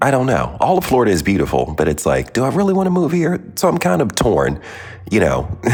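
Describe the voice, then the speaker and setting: A man with a fairly low voice talks at a very fast pace in an animated tone, his pitch swinging very widely over noticeable background noise. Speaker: podcast host. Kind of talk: casual monologue. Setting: remote recording while traveling.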